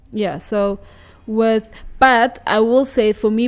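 A plain, everyday voice at a moderate pace, fairly even intonation, and a dry, close sound with no echo. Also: woman. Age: 50s. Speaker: radio host. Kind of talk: radio talk show discussion. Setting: studio.

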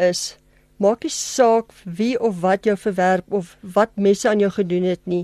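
Her voice is medium in pitch with a dark, mellow tone and ordinary pitch variation, and the sound is dry and close with no echo. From South Africa, Germiston (Gauteng). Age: 50s. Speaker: pet sitter, radio interview guest. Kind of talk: testimony interview. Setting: radio studio.

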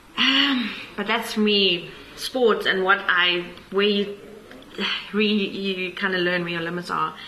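In a room with audible echo and noticeable background noise, a woman of medium pitch talks at a fairly slow pace with fairly even intonation and long, frequent pauses. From South Africa, Pretoria. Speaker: winemaker. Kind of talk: casual interview. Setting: on location at a wine farm tasting room.

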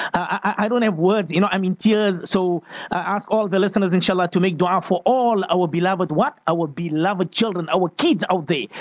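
A man with a high pitch and ordinary pitch variation, fairly quick with hardly any pauses, very even in loudness, over noticeable background noise. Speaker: radio host. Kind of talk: radio talk show hosting, reading listener questions.

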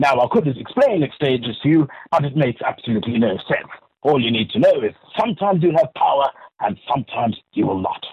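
Somewhat breathy and fairly high, a man's voice races at a very fast pace with very wide pitch swings. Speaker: comedian. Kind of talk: comedic radio interview. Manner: mock-documentary narration.

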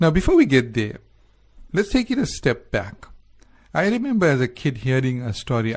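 Somewhat breathy, a man speaks at a medium pitch. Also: quiet background. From South Africa. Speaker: radio host. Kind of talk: casual chat. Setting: studio.

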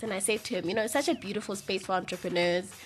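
A woman's voice over music in the background. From South Africa, Eastern Cape. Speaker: PR agency owner. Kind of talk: radio interview.

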